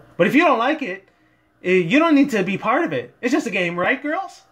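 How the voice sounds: A man does a put-on character voice at an extremely high pitch. His pitch swings big and his tone is fairly bright. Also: fairly quick pace.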